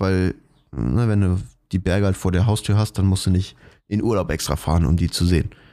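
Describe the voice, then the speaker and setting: The voice has a dark, mellow tone and moves at a fairly quick pace. Its recording is very clean, with a silent background. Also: man. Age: 20s. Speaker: podcast co-host. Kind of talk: casual chat.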